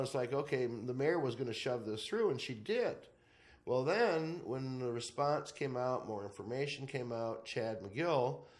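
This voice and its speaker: Lively intonation comes through at a moderate pace, with audible room echo. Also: man. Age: 60s. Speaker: talk show host. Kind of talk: casual political chat.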